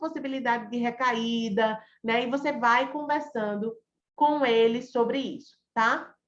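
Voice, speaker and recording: A woman speaks in a normal speaking voice, fairly high in pitch, with ordinary pitch variation. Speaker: psychologist teaching a class. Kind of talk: online lecture.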